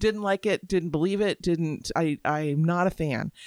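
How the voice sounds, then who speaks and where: A woman has an ordinary speaking voice, fairly low in pitch, with ordinary pitch variation and a moderate pace. The recording is very clean and dry, with a silent background, a close sound and no echo. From Florida, Tampa Bay area. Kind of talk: casual book discussion.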